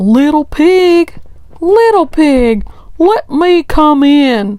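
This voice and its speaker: A woman growls in a put-on character voice, pitched high. She speaks at a very slow pace. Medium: read story. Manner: sly, growling.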